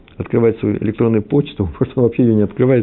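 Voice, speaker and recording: The speaker is a man at a medium pitch. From Moscow / Kyiv. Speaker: religious teacher. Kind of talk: lecture. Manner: hesitant, with fillers.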